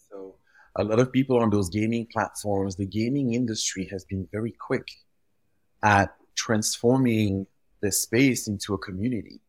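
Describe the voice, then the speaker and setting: Over a very clean recording with a silent background, a man with a French accent speaks at a moderate pace in a fairly low pitch with fairly even intonation. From Belgium. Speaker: fashion retail executive, guest. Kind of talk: interview, casual chat.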